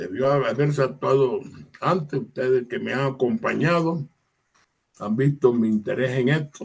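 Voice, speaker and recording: A man's somewhat breathy, medium-pitched voice with lively intonation, at a fairly slow pace. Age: 70s. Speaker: lawyer. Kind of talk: interview discussion.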